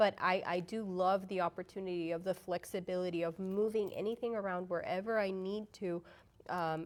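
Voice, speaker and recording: A woman at medium pitch with a Spanish accent and monotone, flat intonation. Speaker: curriculum quality manager and teacher. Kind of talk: educational webinar discussion.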